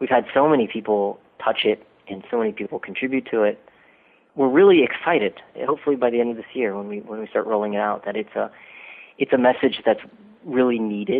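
Despite long, frequent pauses, a man with a Midwestern US accent talks at a very fast pace. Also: medium pitch for a man, ordinary pitch variation. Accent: General American, Midwestern. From US Midwest, Dayton, Ohio. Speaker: documentary filmmaker and doctoral student. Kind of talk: interview. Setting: phone call.

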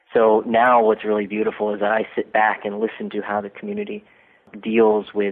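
The speaker is a man with a Midwestern US accent. He keeps a moderate pace. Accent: General American, Midwestern. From US Midwest, Dayton, Ohio. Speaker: documentary filmmaker and doctoral student. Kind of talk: interview. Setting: phone call.

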